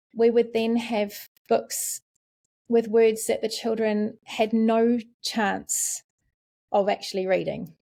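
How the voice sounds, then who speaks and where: A dark, mellow voice in a New Zealand accent at a fairly slow pace, on a very clean recording with a silent background. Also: woman. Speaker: literacy specialist. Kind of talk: podcast interview.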